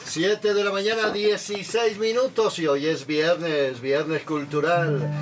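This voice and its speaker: A man with a high pitch at a fairly slow pace, with ordinary pitch variation and noticeable background noise. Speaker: radio host. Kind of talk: radio interview. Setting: studio. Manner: formal.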